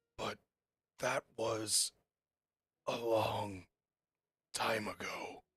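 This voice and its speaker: A raspy, low-pitched put-on character voice drags along at a very slow pace with long, frequent pauses. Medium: actual play. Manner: cryptic, fading.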